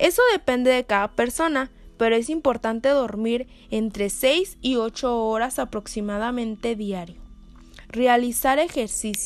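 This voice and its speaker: A woman's high voice, rather slow, with ordinary rises and falls in pitch. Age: 20s. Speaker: psychologist. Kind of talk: solo podcast talk.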